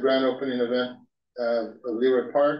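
A man is speaking over a quiet background. Audible room echo surrounds his voice. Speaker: council member reading a proclamation. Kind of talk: formal proclamation reading. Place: hall. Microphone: podium.

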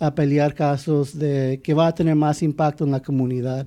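With a dark, mellow tone and a fairly high pitch, a man talks at a moderate pace with fairly even intonation over a quiet background. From Arizona (born Douglas, raised Phoenix). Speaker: immigration attorney. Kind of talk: interview.

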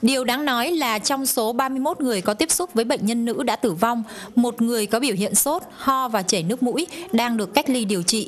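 A woman's high voice carries lively intonation over noticeable background noise. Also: moderate pace. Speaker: foreign correspondent. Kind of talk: news report.

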